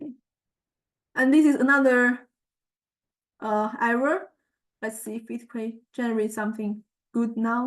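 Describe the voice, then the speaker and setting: A woman with a Chinese accent speaks at a fairly slow pace in a fairly high pitch, with fairly even intonation and long, frequent pauses. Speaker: student researcher presenting a project. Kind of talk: tutorial walkthrough of results. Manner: halting, many fillers.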